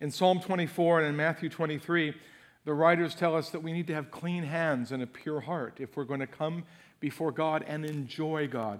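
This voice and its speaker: A man with an ordinary speaking voice, fairly high pitch, fairly even intonation and a moderate pace, on a very clean recording with a silent background. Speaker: guest preacher. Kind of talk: fervent prayer; sermon. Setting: church theater with congregation. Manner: earnest, heartfelt, pleading.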